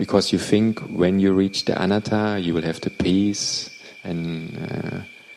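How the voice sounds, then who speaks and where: A man's very deep, low pitch, with fairly even intonation and a fairly slow pace over noticeable background noise. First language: Thai. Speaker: meditation teacher. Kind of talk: dharma talk. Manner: halting.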